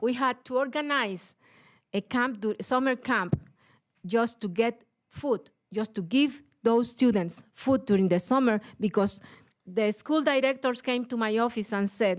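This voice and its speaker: A woman speaks at a fairly slow pace with a fairly high pitch. Her pitch varies in an ordinary way. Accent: Puerto Rican. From Puerto Rico. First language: Spanish. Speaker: teachers' union leader. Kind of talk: panel talk. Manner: halting.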